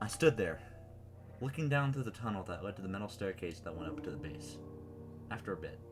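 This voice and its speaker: A man talks with lively intonation. Behind him, music can be heard. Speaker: creepypasta reader and writer. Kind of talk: horror story reading.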